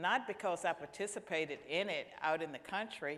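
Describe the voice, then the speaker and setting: Someone with an American accent talks at a moderate pace in a normal speaking voice. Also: woman. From US South, rural Virginia. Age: 60s. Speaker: panelist, senior policy fellow. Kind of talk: panel discussion.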